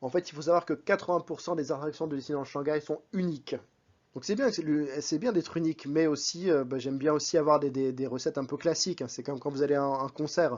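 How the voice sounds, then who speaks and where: This man has an unremarkable speaking voice with a fairly high pitch and ordinary pitch variation. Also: fairly quick pace. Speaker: vlogger. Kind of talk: vlog voice-over. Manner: casual, conversational.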